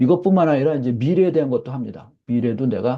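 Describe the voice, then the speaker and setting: Talking at a fairly quick pace, a man speaks with lively intonation. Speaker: professor. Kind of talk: lecture. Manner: fast.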